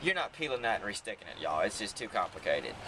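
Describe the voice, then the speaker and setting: Amid noticeable background noise, a man with a Southern accent talks at a very fast pace. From South Carolina, Heath Springs. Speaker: carriage tour guide. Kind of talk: guided tour commentary. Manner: animated.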